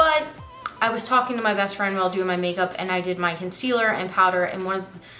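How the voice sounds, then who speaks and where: A woman speaks at medium pitch and a fairly quick pace with ordinary pitch variation, amid audible room echo and noticeable background noise. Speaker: beauty vlogger. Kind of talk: makeup tutorial / first impressions review. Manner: casual, chatty.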